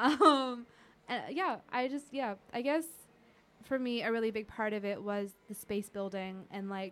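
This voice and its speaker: A woman talks in an unremarkable speaking voice at a fairly slow pace. Her pitch is fairly high, with ordinary pitch variation. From US, Indian American family. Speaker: podcast host. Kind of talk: casual chat. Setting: studio.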